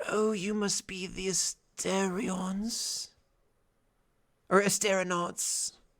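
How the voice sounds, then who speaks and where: A quiet, put-on character voice at a middle pitch, monotone and flat, very slow, with long, frequent pauses. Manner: hushed, barely audible.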